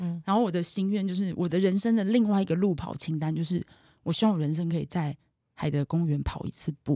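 Speaking at a fairly quick pace, a woman has a dark, mellow tone and a fairly low pitch. Her pitch varies in an ordinary way, and the sound is dry and close with no echo. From Taiwan, Taipei. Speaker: marketing executive and runner. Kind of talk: interview conversation. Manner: animated.

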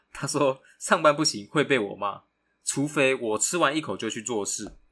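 A man's bright, sharp tone with lively intonation. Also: very clean recording, silent background. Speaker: podcast co-host, university student. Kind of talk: casual chat.

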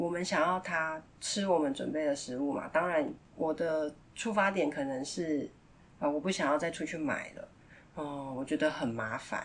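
This woman has a very deep, low pitch and ordinary pitch variation. She talks at a moderate pace. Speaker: parenting podcast host. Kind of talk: casual monologue.

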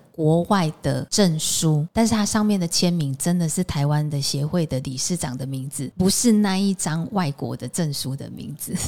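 A woman with a very deep, low pitch speaks in an animated tone with hardly any pauses. Noticeable background noise runs beneath her. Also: ordinary pitch variation, moderate pace. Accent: Taiwanese. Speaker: podcast host, aromatherapy teacher. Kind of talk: casual interview chat. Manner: animated, laughing often.

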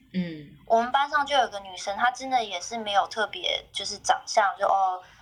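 With lively intonation, an ordinary speaking voice keeps a moderate pace. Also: woman. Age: 30s. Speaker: podcast guest sharing family story. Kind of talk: casual chat, personal storytelling.

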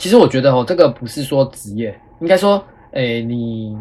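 This man's voice is somewhat breathy. His intonation is lively. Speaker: schoolteacher and podcast host. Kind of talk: casual chat.

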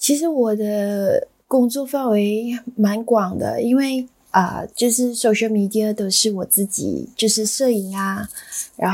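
A woman talks at a very slow pace. Her pitch is fairly high and her intonation fairly even. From Malaysia. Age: 30s. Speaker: bakery owner. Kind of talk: interview.

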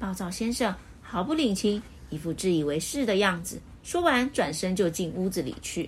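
The intonation rises and falls in a lively way. Someone is reading aloud in a natural voice.

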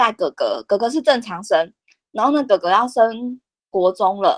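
An unremarkable speaking voice, a woman's fairly high tones carry lively intonation at a fairly slow pace, in a dry, close sound with no echo on a very clean recording with a silent background. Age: 30s. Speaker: special education teacher. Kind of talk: interview.

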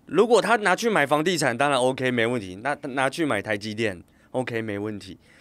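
A man's plain, everyday voice at a moderate pace, with big swings in loudness. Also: medium pitch for a man, lively intonation, very clean recording, silent background. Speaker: fitness company CEO and former coach. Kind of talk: casual interview.

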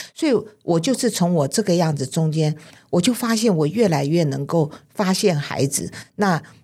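A dark, mellow voice at a moderate pace with lively intonation. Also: woman, fairly low pitch for a woman. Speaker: childcare supervisor and author. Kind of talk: interview.

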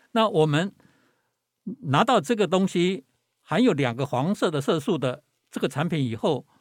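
In a very clean recording with a silent background and a dry, close sound with no echo, a man speaks at a high pitch and a moderate pace, with very wide pitch swings and long, frequent pauses. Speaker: professor. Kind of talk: interview. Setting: studio.

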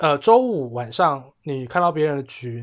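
A man with an ordinary speaking voice talks at a moderate pace and a fairly high pitch. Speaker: podcast host. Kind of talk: casual chat.

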